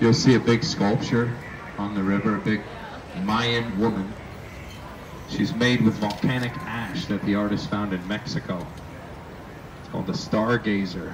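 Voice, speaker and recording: Long pauses come often at a moderate pace, with fairly even intonation. Noticeable background noise runs underneath. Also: man, fairly low pitch for a man. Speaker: tour boat captain guide. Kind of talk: tour guide commentary. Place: boat.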